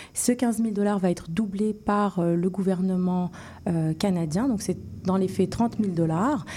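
The speech is somewhat breathy with a dark, mellow tone, very even loudness, ordinary pitch variation and a fairly slow pace. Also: woman, medium pitch for a woman. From Morocco. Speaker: surgeon. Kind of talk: interview.

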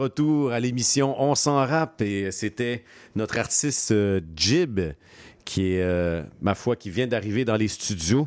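A man speaks at a very slow pace with lively intonation on a very clean recording with a silent background. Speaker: radio host. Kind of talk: radio show interview. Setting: radio studio.

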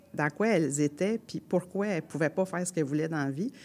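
A woman with a strong Quebec accent speaks at a fairly low pitch. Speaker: storyteller and folk singer. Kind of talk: storytelling. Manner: colloquial, animated.

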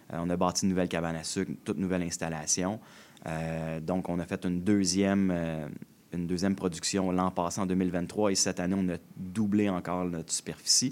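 Speaking with a strong Quebec accent, a man uses a very deep, low pitch and fairly even intonation on a very clean recording with a silent background. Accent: strong Québécois. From Quebec, Joliette region. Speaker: winery owner. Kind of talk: radio interview.

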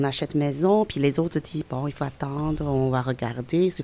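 A woman with a Chinese accent, very deep, low pitch, ordinary pitch variation and a moderate pace, over noticeable background noise. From China, Beijing. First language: Chinese (speaking French). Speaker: immigrant guest. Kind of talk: interview. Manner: halting.

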